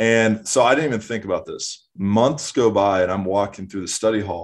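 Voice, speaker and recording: In an American accent, a man with a normal speaking voice and fairly low pitch talks at a moderate pace with fairly even intonation against a quiet background. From Minnesota (Minneapolis). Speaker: former college swimmer. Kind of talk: casual interview.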